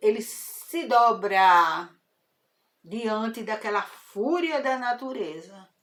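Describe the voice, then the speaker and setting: A woman speaks very slowly in a high voice with very wide pitch swings. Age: 70s. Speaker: spiritist talk host. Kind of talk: informal spiritual lecture. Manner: conversational, hesitant.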